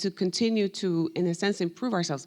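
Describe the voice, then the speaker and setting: This speaker has a Spanish accent. She is a woman whose voice sits at a medium pitch. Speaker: professor. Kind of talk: panel discussion.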